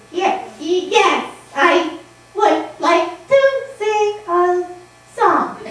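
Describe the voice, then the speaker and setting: A cartoonish character voice, female-sounding and extremely high-pitched, very slow with long, frequent pauses and a slight echo. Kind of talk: comic ventriloquist act. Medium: puppet show. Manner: whiny, scatterbrained.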